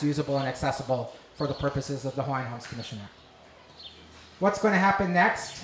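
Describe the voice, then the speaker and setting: Male speech with noticeable background noise and audible echo from the room. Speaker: government agency presenter. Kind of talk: public meeting presentation. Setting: community meeting hall. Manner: fast.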